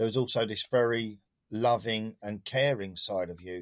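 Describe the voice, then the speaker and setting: A man speaks at a fairly slow pace, his pitch sitting in the medium range. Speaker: partner of the host. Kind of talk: casual chat.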